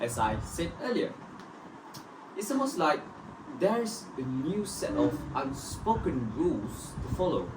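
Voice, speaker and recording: The speech is fairly slow, with long, frequent pauses. Noticeable background noise runs underneath. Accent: Malaysian. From Malaysia, Pahang (Kuantan). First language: Malay. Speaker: student. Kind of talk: scripted group discussion.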